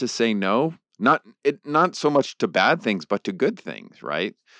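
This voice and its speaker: A man with vocal fry talks fairly slowly at a medium pitch, his pitch swinging very widely. The sound is dry and close with no echo, over a quiet background. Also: hardly any pauses. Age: 50s. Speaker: theology professor and author. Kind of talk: interview conversation.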